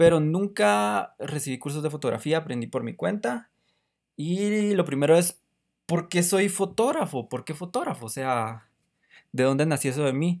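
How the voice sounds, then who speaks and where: Lively intonation at a moderate pace, on a very clean recording with a silent background. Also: man, fairly high pitch for a man. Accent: Guatemalan. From Guatemala. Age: 20s. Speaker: podcast host; photographer. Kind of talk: casual solo podcast monologue. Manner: halting.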